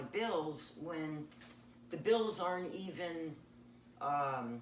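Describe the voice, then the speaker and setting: A woman with a very deep, low pitch speaks very slowly and with lively intonation, and room echo is audible. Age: 60s. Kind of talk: interview.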